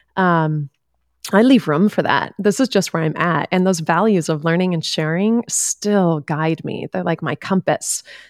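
In a very clean recording with a silent background, a woman speaks in a normal speaking voice, fairly low in pitch, with ordinary pitch variation. Her pace is fairly slow, and the sound is dry and close with no echo. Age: 40s. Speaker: life coach and podcast host. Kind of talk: casual interview conversation.

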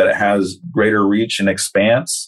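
A normal speaking voice from a man, fairly low in pitch, with fairly even intonation. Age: 40s. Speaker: corrections counselor and life coach. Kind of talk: casual interview.

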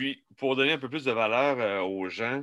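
In a Quebec accent, this voice has a bright, sharp tone and ordinary pitch variation. The recording is very clean, with a silent background. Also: man. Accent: Québécois French. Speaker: barbecue podcast host. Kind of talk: casual interview.

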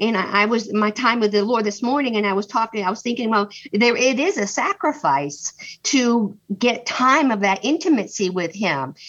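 A woman with a fairly high pitch talks at a moderate pace and with lively intonation, with noticeable background noise behind her. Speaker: group participant. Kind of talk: casual group discussion.

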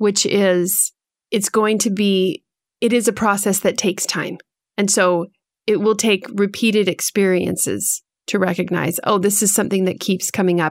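A woman with an unremarkable speaking voice talks at a moderate pace, her medium pitch carried by fairly even intonation and very even loudness. The recording is very clean and dry, close with no echo and a silent background. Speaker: podcast co-host, guest. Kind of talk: interview, casual conversation.

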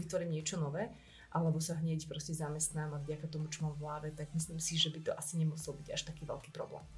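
A woman speaks very fast in a very deep, low pitch, somewhat breathy, with monotone, flat intonation. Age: 30s. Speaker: entrepreneur and marketer. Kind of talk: casual interview. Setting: studio.

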